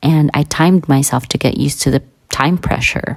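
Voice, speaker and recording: A woman with a very deep, low pitch speaks at a moderate pace, varying her pitch in an ordinary way, while noticeable background noise goes on. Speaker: vlogger. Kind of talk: personal reflection monologue.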